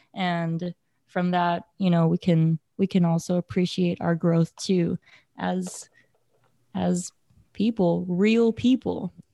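A woman speaks at medium pitch with a dark, mellow tone and fairly even intonation. The recording is very clean, with a silent background and a dry, close sound with no echo. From Hawaii. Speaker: nonprofit board member and graphic designer. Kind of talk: casual chat; reading aloud from journal. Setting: Hawaii, looking out at the ocean.

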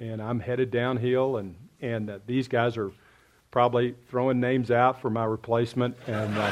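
Monotone and flat, a man at a medium pitch speaks at a moderate pace. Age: 60s. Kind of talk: casual chat. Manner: halting.

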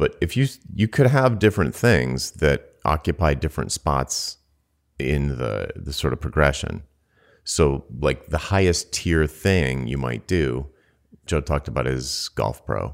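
This man has an American accent and a very deep, low pitch. Vocal fry runs through his speech. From US Northeast (Rhode Island). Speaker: podcast co-host, business consultant. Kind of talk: casual chat. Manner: fast.

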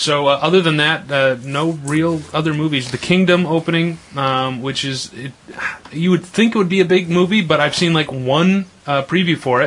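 Speaking at a moderate pace amid noticeable background noise, a man uses a fairly high pitch with ordinary pitch variation. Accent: American. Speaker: radio host. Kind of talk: casual chat. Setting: studio.

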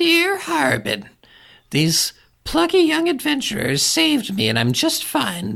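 At a fairly slow pace, someone delivers lines in a put-on character voice. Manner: cheerful, breezy.

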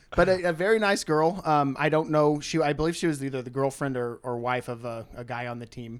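A man with an ordinary speaking voice and an American accent, fairly high in pitch with ordinary pitch variation, at a fairly quick pace with hardly any pauses and big swings in loudness. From rural Missouri. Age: 30s. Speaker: podcast guest. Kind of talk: casual chat.

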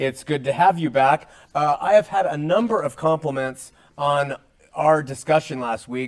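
A man with a plain, everyday voice speaks at a moderate pace, his pitch fairly high with ordinary variation. His loudness swings widely. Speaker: religious talk show host. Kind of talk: interview. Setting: studio.

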